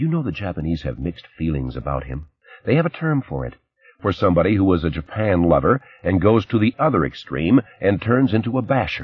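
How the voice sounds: Using a put-on character voice, a man speaks fairly quickly at a low pitch with big pitch swings and a slightly husky edge.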